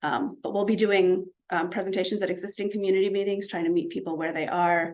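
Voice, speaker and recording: The voice belongs to a woman. She talks at a fairly quick pace. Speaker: city traffic safety planner presenting to a community group. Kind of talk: presentation at a community meeting. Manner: fast; many filler words (um).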